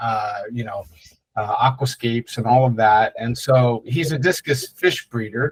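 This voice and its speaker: The voice is somewhat breathy, with fairly even intonation. Its pace is fairly slow. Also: man. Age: 60s. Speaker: digital marketing agency owner. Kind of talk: webinar presentation. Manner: casual, many filler words.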